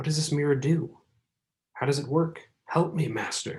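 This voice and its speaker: In a put-on character voice, a man sounds strained, speaking at a moderate pace with a fairly high pitch and monotone, flat intonation. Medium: read story. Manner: strained, impatient.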